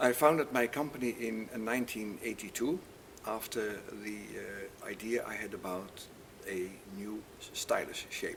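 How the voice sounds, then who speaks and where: Over noticeable background noise, a man speaks in a fairly low voice with ordinary pitch variation. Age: 70s. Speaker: audio equipment manufacturer. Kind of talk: interview. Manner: halting.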